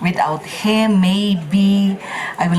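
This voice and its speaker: A woman with a Filipino accent speaks at a fairly slow pace amid noticeable background noise and audible room echo. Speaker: micronation prime minister. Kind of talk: ceremonial speech. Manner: halting.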